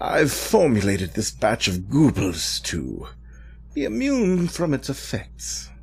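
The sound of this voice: Slightly mellow put-on character voice with vocal fry, very wide pitch swings and a slow pace. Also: man, medium pitch for a man.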